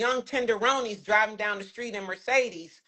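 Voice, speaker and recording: Her fairly high voice sounds animated, and this woman shows ordinary pitch variation. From US Midwest, Chicago. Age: 60s. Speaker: expat guest. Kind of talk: casual interview chat.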